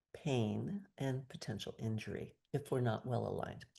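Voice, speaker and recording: Against a quiet background, a soft-spoken woman talks with a dark, mellow tone and a very deep, low pitch. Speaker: movement educator. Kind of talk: guided exercise class.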